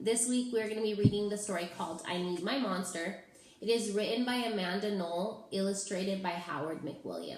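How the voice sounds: A natural reading voice, its pitch moving in the ordinary way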